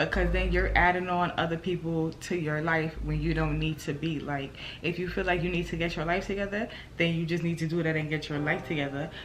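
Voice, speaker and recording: A woman is speaking with audible room echo. Noticeable background noise is present too. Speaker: vlogger. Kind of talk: casual chat. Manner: calm, relaxed.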